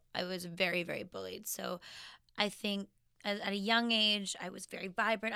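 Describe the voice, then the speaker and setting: The speaker has a bright, sharp tone and fairly even intonation at a moderate pace. The recording is very clean, with a silent background. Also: woman. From Canadian prairies, Saskatchewan. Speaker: fashion designer. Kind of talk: interview.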